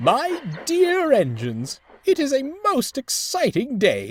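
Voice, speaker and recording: In a put-on character voice, the speaker takes a pompous tone at a fairly slow pace. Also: man, extremely high pitch for a man. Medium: read story. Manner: formal, pompous.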